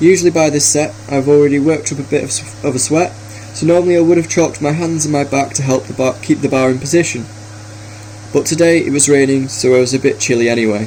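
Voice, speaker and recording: Against noticeable background noise, a man speaks at a very fast pace with fairly high pitch and ordinary pitch variation. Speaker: personal trainer. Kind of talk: workout voice-over narration. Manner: some stuttering.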